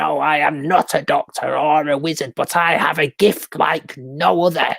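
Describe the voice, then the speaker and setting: Putting on a character voice, a man sounds raspy and fairly high-pitched. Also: moderate pace. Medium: read story. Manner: sly.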